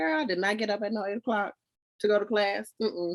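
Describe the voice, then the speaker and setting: A woman talks at a fairly quick pace in an animated, bright and sharp voice of medium pitch. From Louisiana, Shreveport; military kid. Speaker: podcast co-host, Air Force veteran. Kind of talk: casual chat.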